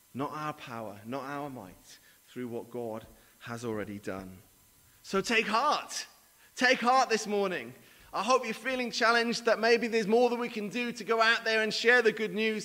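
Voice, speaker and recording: A man speaks with a Welsh accent at a moderate pace. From Mid Wales. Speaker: charity leader and guest preacher. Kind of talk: sermon. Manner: hesitant, many fillers.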